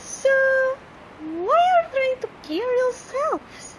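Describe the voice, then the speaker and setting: Through loud background noise, a woman does a cartoonish character voice at an extremely high pitch and a fairly slow pace. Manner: chirpy, flirtatious.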